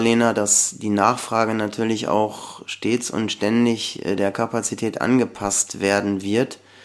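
A man talks at a fairly slow pace in an unremarkable speaking voice. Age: 50s. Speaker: company founder and electrical engineer. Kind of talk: podcast interview.

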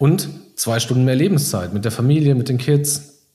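Amid audible room echo, a man with a medium pitch and a dark, mellow, somewhat breathy tone speaks with ordinary pitch variation. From Iserlohn, Sauerland, Germany. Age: 30s. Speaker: coworking space founder. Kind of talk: interview.

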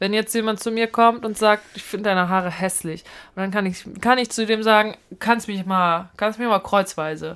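This woman has an unremarkable speaking voice at a medium pitch, with fairly even intonation. The recording is very clean and the background silent. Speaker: podcast co-host and actress. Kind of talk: casual chat. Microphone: new voice microphone.

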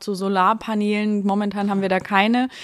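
A woman's medium-pitched voice in a monotone, flat intonation, on a very clean recording with a silent background. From rural Germany. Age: 30s. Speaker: online marketplace managing director. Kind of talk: podcast interview.

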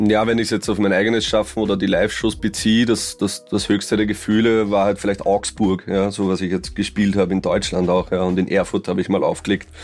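The speaker talks fairly quickly with an Austrian accent, barely pausing at all. Loudness stays very even and intonation fairly even. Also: man, fairly low pitch for a man. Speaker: rapper and producer. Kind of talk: casual chat.

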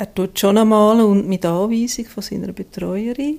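A dark, mellow tone with fairly even intonation, delivered at a fairly slow pace. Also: woman. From Switzerland, Zurich region. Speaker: family caregiver. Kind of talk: interview. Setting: at home.

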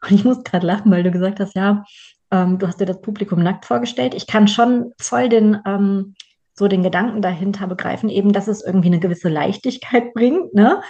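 A somewhat breathy woman's voice at medium pitch. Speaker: podcast host and trainer. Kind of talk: casual chat.

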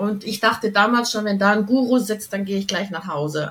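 With fairly even intonation, a woman talks in an ordinary speaking voice. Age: 60s. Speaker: channeling coach, former opera singer. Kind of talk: interview.

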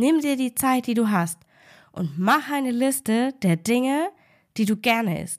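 A woman's high, warm, upbeat voice, very slow, with lively intonation, on a very clean recording with a silent background. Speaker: food and life coach, podcast host. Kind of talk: pep talk, direct motivational address to the listener. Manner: warm, encouraging, emphatic, upbeat; direct, repeating key phrases for emphasis.

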